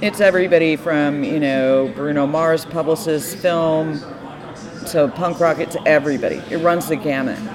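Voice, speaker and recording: A woman's very deep, low voice with an American accent, ordinary pitch variation and a moderate pace, plus audible room echo and noticeable background noise. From Texas, Austin. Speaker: music publicist. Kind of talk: casual chat.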